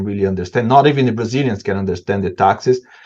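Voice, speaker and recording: Pitched at a medium level, a man speaks with fairly even intonation. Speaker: supply chain expert, panelist. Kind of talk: webinar panel discussion. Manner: halting, many repetitions.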